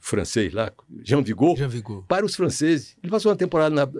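A man's creaky, vocal-fry voice with very wide pitch swings, on a very clean recording with a silent background. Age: 80s+. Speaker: filmmaker. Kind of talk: interview. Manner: halting.

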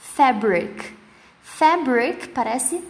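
With lively intonation and a fairly high pitch, a woman speaks amid audible room echo and noticeable background noise. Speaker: English teacher. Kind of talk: tutorial.

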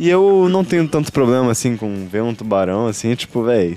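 With music playing in the background, a man speaks in very wide pitch swings. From southern Brazil, Porto Alegre. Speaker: podcast host. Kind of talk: casual chat. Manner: animated.

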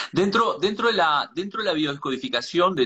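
This man has a normal speaking voice and lively intonation. His pace is moderate. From Uruguay. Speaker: live-stream host. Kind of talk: live interview stream. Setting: live video stream.

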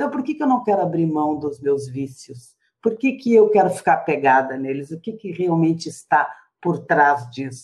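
Her pitch fairly low, a woman speaks with very wide pitch swings. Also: moderate pace. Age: 50s. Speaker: volunteer teacher and former smoker. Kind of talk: interview testimony.

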